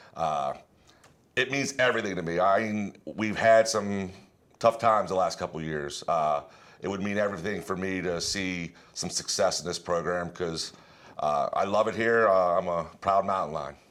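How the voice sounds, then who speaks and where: A man with an American accent and an unremarkable speaking voice, fairly low in pitch with ordinary pitch variation, at a moderate pace, in a very clean recording with a silent background. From Pennsylvania, Altoona area. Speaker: high school basketball coach. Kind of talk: interview.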